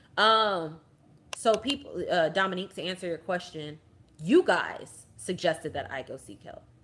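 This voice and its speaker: A woman speaks at a medium pitch with lively intonation. Her loudness swings widely. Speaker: army veteran vlogger. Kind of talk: casual livestream chat. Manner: fast.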